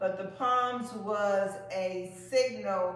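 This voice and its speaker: There is audible room echo. The voice belongs to a woman. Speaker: Sunday school teacher. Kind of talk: sermon. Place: church. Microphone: camera far.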